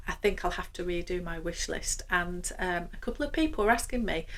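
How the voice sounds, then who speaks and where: A woman with a Yorkshire accent, at a moderate pace. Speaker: luxury fashion vlogger. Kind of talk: casual vlog monologue.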